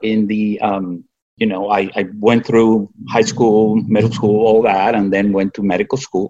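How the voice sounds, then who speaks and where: A man with a Spanish accent speaks at a medium pitch. His pace is fairly slow, and the background is quiet. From Cuba. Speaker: physician. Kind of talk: interview.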